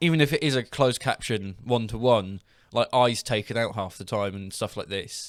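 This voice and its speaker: A man with an English accent talks at a fairly quick pace, his medium pitch showing ordinary variation. The recording is very clean, with a silent background. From England. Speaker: podcast host. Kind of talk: casual chat.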